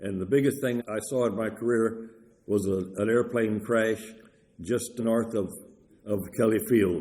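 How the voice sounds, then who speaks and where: A man with an American accent speaks at a fairly slow pace, his medium-pitched voice dark and mellow, with fairly even intonation. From Texas, San Antonio. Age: 80s+. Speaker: retired firefighter. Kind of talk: oral history interview.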